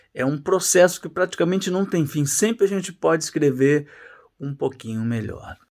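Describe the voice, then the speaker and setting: A man speaks in a normal speaking voice, fairly high in pitch with lively intonation and a moderate pace. The recording is very clean, with a silent background. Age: 60s. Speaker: journalist and writing teacher. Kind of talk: casual course introduction.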